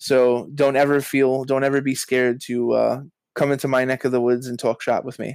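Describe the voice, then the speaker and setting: A man with a New York accent talks fairly quickly at a medium pitch, his intonation monotone and flat. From Brooklyn, New York. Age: 30s. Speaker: author and journalism educator. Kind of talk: casual interview.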